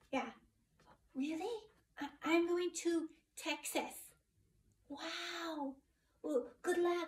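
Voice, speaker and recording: A put-on character voice moves at a very slow pace, broken by long, frequent pauses. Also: woman, extremely high pitch for a woman. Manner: hesitant, excited.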